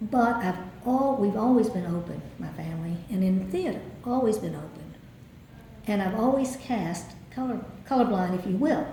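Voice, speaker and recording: A woman with a slight Southern accent and lively intonation at a medium pitch and moderate pace, with long, frequent pauses, audible room echo and noticeable background noise. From US South. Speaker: theatre director. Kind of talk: interview.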